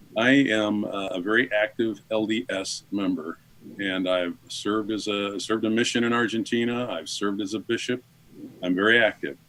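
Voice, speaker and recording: A man's normal speaking voice, fairly low in pitch, with fairly even intonation and a moderate pace. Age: 60s. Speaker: father of a son in recovery. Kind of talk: interview testimony. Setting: radio show.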